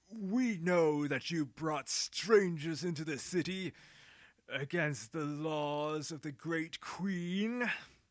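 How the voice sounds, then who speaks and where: A man puts on a character voice at a fairly high pitch. He speaks at a very slow pace. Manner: aggressive, demanding.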